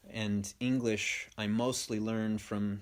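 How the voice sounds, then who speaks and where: A man at a fairly low pitch, very slow and monotone, with flat intonation in a very clean recording against a silent background. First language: Spanish. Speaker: podcast host. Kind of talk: stream-of-consciousness monologue.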